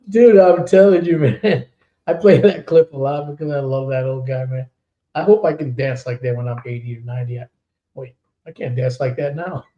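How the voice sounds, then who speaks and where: A man's somewhat breathy voice, dark and mellow in tone and fairly high in pitch, moves at a moderate pace with ordinary pitch variation. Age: 60s. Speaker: podcast host and metal singer. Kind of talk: casual chat.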